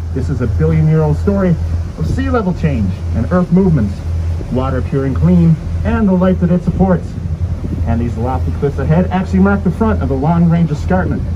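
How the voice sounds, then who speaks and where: A man with a very deep, low pitch talks at a fairly quick pace with ordinary pitch variation, over noticeable background noise. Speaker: boat tour guide. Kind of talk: tour guide narration. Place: boat.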